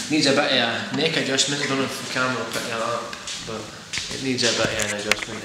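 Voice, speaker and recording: Amid loud background noise and audible room echo, a man talks at a very fast pace with long, frequent pauses. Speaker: guitar reviewer. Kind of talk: casual guitar review to camera. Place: home room. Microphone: camera far.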